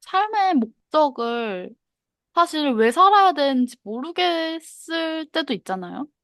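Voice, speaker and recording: At a very slow pace, a woman's high pitch makes very wide swings, recorded dry and close with no echo against a quiet background. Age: 20s. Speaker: podcast co-host. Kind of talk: casual chat.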